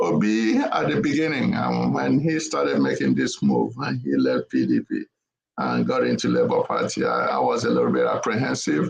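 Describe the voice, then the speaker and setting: Speaking at a moderate pace with a Nigerian accent, a man keeps his loudness very even. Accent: Igbo Nigerian. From Nigeria (Igbo). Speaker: panelist on political talk show. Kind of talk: political panel discussion. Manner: hesitant, many fillers.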